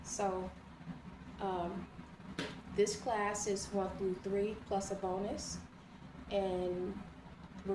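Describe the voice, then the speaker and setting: A woman speaks at a medium pitch in a calm tone, her intonation monotone and flat. Noticeable background noise and audible room echo surround her. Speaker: online teacher. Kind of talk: lecture. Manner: slow and calm; repetitive.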